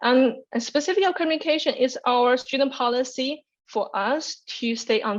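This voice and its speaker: A woman with a Chinese accent and a high pitch. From China. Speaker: graduate student presenter. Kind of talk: orientation webinar presentation. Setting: online webinar. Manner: energetic, occasional stumbles.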